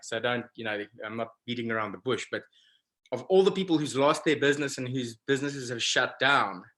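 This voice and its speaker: Fairly quick speech from a man with a fairly high pitch and a bright, sharp tone. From South Africa. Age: 40s. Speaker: professional fishing guide. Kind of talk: casual interview.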